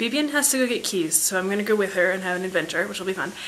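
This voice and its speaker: A woman with a medium pitch talks very fast while noticeable background noise plays behind her. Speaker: vlogger. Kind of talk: casual vlog.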